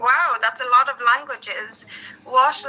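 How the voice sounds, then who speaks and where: Over noticeable background noise, a woman with an Irish accent speaks very slowly at a high pitch with ordinary pitch variation. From Ireland. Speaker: English tutor. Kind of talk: casual chat.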